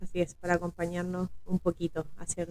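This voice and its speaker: A woman speaks at a fairly low pitch in a dark, mellow tone. Her intonation is monotone and flat. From Chile, Valparaíso region (Villa Alemana). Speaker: podcast co-host. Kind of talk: casual podcast conversation.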